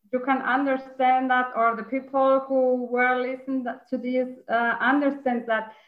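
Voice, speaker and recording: A woman at a high pitch and a fairly slow pace. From Mexico. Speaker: honorary consul. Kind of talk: interview. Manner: halting.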